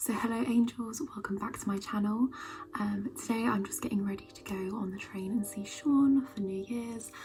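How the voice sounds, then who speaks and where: A soft-spoken woman at a moderate pace, with ordinary pitch variation, big swings in loudness and noticeable background noise. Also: fairly high pitch for a woman. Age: 20s. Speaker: beauty vlogger / university student. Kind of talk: casual chat. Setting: at home, early morning.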